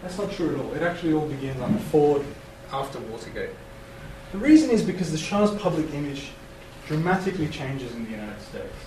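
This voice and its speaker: Over noticeable background noise, a man talks at a very fast pace, his pitch fairly high. His intonation is lively, with big swings in loudness. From Iran. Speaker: university lecturer and author. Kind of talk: academic lecture with Q&A.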